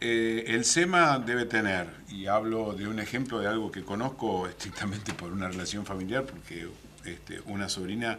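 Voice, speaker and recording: Over noticeable background noise and audible room echo, a man talks at a fairly slow pace in a fairly low pitch, with ordinary pitch variation and big swings in loudness. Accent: Rioplatense. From Argentina, Mar del Plata. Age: 60s. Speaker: municipal official. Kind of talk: radio/TV interview. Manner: halting, many fillers.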